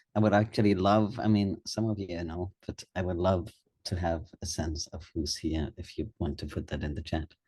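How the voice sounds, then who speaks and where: A man with a very deep, low pitch and a somewhat breathy voice speaks at a moderate pace with ordinary pitch variation. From Germany. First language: German. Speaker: nonprofit co-founder, governance consultant. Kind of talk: webinar talk. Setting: online webinar.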